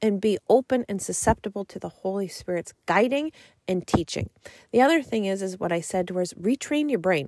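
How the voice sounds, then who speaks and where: Using an ordinary speaking voice, a woman at medium pitch talks at a moderate pace with lively intonation, the sound dry and close with no echo. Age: 40s. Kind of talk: solo faith podcast monologue and testimony.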